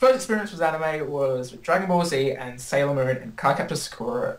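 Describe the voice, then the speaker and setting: A man with an Australian accent speaks with lively intonation over noticeable background noise. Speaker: anime YouTuber. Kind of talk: casual chat.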